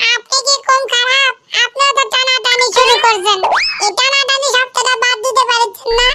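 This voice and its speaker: A woman uses a cartoonish character voice at an extremely high pitch, with monotone, flat intonation. Her loudness stays very even and her pace is moderate. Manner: quick to take offense.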